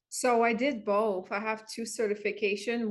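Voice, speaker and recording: A woman speaks with a non-native accent. Her pitch is medium and her pace moderate. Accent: noticeable foreign. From Montreal, Quebec. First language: French. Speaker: wellness coach. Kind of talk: interview.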